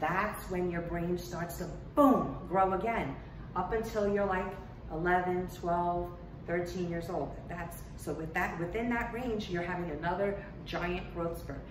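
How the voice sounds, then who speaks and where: Over noticeable background noise and audible room echo, a woman with a fairly low pitch speaks at a fairly slow pace with ordinary pitch variation. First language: Portuguese. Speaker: teacher. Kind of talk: lesson for children. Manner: conversational, frequent fillers.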